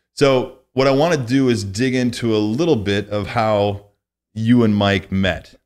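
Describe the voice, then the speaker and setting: A man with an American accent at a fairly slow pace against a quiet background. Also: ordinary pitch variation. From US Midwest, northwest Illinois. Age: 40s. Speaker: podcast host. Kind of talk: casual interview. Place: studio. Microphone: studio mic.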